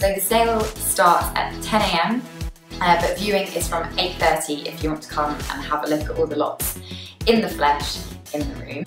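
The room echo is audible, and the speech moves at a moderate pace. Music plays clearly in the background. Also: woman. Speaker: auctioneer presenting lots. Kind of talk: auction lot showcase presentation. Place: office. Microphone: camera far.

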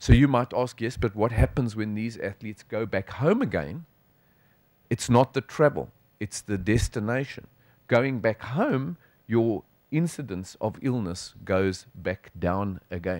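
Speaking at a fairly slow pace with lively intonation, a man with a South African accent sounds dry and echo-free against a quiet background. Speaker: sports physician, professor; professor. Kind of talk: conference lecture. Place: hall.

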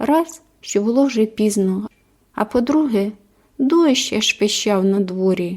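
A natural voice, reading aloud.

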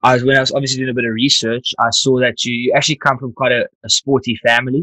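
The man talks very fast in a bright, sharp tone with monotone, flat intonation. The sound is dry with no echo, and the background is quiet. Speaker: podcast host. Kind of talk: casual interview chat. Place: home room. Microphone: studio mic.

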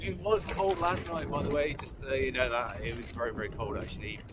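A man speaks over loud background noise, and the sound is dry with no echo. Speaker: touring cyclist vlogger. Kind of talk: casual vlog chat. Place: bicycle. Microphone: camera far.

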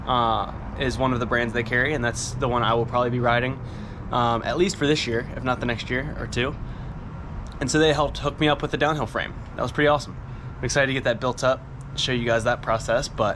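A very fast pace with fairly even intonation over noticeable background noise. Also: man. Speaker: mountain bike rider vlogger. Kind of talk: casual vlog chat. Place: street. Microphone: phone near.

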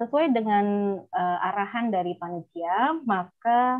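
Against a quiet background, a woman speaks at a very slow pace with ordinary pitch variation. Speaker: architecture lecturer, moderator. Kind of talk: seminar moderation. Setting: video call. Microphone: earbuds.

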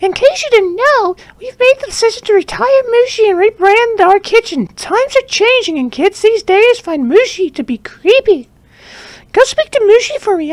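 An extremely high, squeaky put-on character voice carries the clip. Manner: put-on character voice, self-described as terrible.

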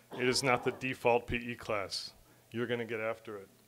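This is a man talking. He keeps a moderate pace. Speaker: teacher presenting a student award. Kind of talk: casual tribute speech. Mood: warm, praising. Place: classroom. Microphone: podium.

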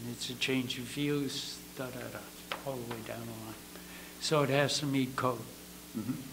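Noticeable background noise runs beneath talking at a fairly slow rate. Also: man. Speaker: architect. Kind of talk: public hearing testimony. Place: meeting room. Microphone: camera far.

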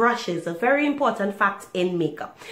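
With noticeable background noise around her, a woman keeps a moderate pace. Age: 30s. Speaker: makeup youtuber. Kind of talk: casual talk to camera.

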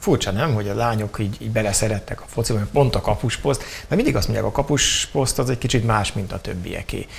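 A man talks at a very fast pace with hardly any pauses. There is light background noise. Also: ordinary pitch variation. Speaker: TV show host. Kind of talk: interview. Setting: studio. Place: studio. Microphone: lapel.

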